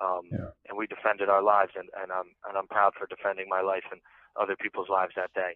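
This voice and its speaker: Speech races along at a very fast pace. The intonation stays monotone and flat. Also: man, fairly low pitch for a man. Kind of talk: impassioned rally-style testimony. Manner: urgent, fervent, preachy.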